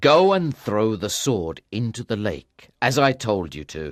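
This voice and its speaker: A man's put-on character voice at medium pitch, with very wide pitch swings, a fairly slow pace and a quiet background. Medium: read story.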